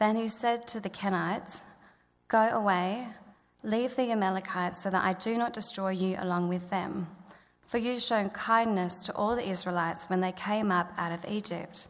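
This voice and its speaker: Fairly even intonation and a moderate pace in a plain, everyday voice. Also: woman, medium pitch for a woman. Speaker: Bible reader. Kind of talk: reading aloud. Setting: church.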